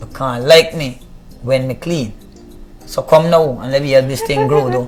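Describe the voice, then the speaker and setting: A man's voice with fairly even intonation, over noticeable background noise. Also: medium pitch for a man, moderate pace, big swings in loudness. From Guyana, Buxton. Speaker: reggae artist. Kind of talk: interview.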